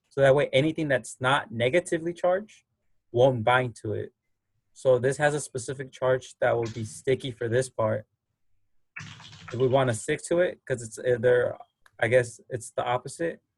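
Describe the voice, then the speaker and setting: A somewhat breathy voice at a moderate pace, with long, frequent pauses, ordinary pitch variation and a dry, close sound with no echo. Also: man, medium pitch for a man. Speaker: biology lab instructor. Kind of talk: online lab class explanation. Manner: mumbling, halting.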